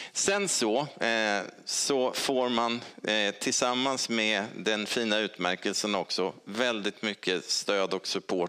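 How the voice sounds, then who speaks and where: Against a quiet background, a man speaks with fairly low pitch, ordinary pitch variation and a bright, sharp tone. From Sweden, Stockholm; Sweden. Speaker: honorary doctor; honorary doctor giving lecture. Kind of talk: lecture. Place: hall.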